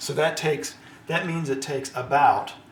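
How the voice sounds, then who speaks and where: Audible room echo and noticeable background noise surround a man whose fairly high voice shows ordinary pitch variation. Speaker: father explaining science. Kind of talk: lecture.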